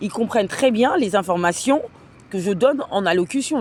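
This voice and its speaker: Speaking at a fairly quick pace, a woman with a medium pitch and lively intonation is heard over noticeable background noise. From France. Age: 30s. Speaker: vlogger, cleaning worker. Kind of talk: casual livestream monologue. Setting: at home. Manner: hesitant, many fillers.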